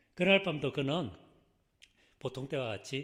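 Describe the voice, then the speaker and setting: A man's fairly high, somewhat breathy voice with a Gyeongsang accent, at a fairly slow pace, on a very clean recording with a silent background. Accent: Gyeongsang dialect, trouble pronouncing 의. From South Korea, Busan (Gyeongsang). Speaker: pastor. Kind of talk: sermon.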